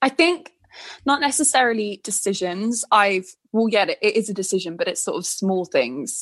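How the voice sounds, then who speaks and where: A woman speaks in a normal speaking voice, fairly high in pitch. Her intonation is lively and her pace moderate. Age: 20s. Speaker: blogger. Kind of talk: casual chat.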